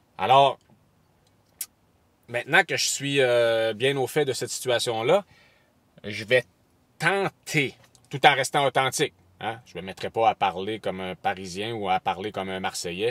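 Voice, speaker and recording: A man talks with a slight Côte-Nord Quebec accent, leaving long, frequent pauses. The sound is dry and close, with no echo. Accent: slight Côte-Nord Québécois. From Quebec, Côte-Nord. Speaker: wildlife photographer and video creator. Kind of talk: casual vlog to camera. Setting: at an aquarium. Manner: hesitant, many fillers and repetitions.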